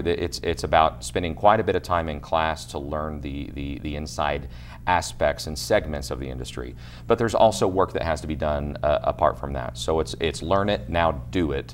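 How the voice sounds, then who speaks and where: A man with an American accent and a very deep, low pitch, ordinary pitch variation, and music in the background. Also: moderate pace. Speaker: auctioneer, international auctioneer champion. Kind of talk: interview answer, explanatory talk. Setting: news interview.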